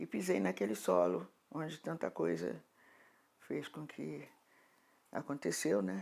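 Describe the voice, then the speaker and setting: At a fairly slow pace, a woman with a very deep, low pitch speaks with very wide pitch swings and long, frequent pauses. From Rio de Janeiro, Brazil. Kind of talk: oral history interview. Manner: halting, with repetitions.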